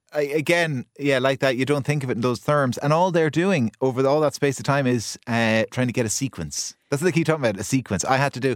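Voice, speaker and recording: A man with an Irish accent, speaking at a very fast pace with hardly any pauses and ordinary pitch variation, on a very clean recording with a silent background. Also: medium pitch for a man. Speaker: radio host. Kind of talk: radio panel discussion. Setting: studio.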